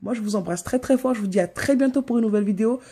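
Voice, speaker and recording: Somewhat breathy, a woman speaks at a fairly high pitch with a dark, mellow tone. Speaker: YouTuber. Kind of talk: motivational new year vlog. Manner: fast; animated.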